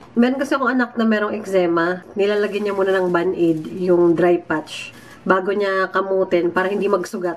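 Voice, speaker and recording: A woman talks at a moderate pace with fairly even intonation over noticeable background noise. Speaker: vlogger. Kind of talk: casual vlog. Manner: soft-spoken.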